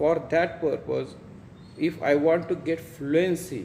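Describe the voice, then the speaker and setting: A man talks at a very slow pace. He has an Indian accent. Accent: Indian (Marathi) English. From India, Maharashtra. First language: Marathi. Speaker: English teacher. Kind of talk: tutorial. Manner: halting.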